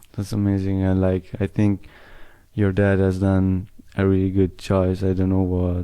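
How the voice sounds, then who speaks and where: A man with an Italian accent, a very deep, low pitch and a dark, mellow tone, at a fairly slow pace, in monotone, flat intonation and very even loudness. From Italy. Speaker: interviewer. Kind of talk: interview.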